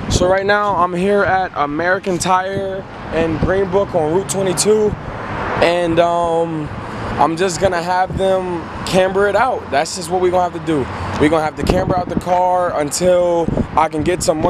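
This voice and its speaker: Someone talks at a moderate pace in a dry sound with no echo, with noticeable background noise behind them. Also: man. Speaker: car vlogger. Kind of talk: casual vlog chat. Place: street. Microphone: phone near.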